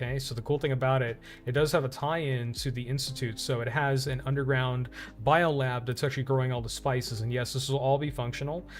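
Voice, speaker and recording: A very fast male voice of medium pitch, flat and monotone, with music in the background. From India, Uttar Pradesh. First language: Hindi. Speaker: streamer. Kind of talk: casual live stream talk. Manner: halting, many fillers.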